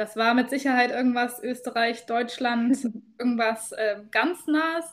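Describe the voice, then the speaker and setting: This woman speaks at a moderate pace in a high pitch with ordinary pitch variation. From rural Germany. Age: 30s. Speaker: travel podcast co-host. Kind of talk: casual chat. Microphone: new microphone.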